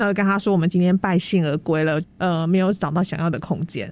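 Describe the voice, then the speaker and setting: In an ordinary speaking voice, a woman talks fairly quickly at a fairly low pitch with fairly even intonation. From Taiwan, Tainan. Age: young. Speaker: heritage house restoration organizer. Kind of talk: radio interview.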